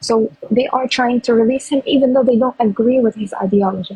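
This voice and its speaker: In a non-native accent, a woman speaks with monotone, flat intonation, the sound dry and close with no echo. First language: not English. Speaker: pro-Palestinian activist. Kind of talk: heated debate.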